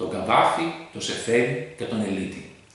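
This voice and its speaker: A man talks with very wide pitch swings. Noticeable background noise and audible room echo fill the clip. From Greece. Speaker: polyglot language learner. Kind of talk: prepared monologue.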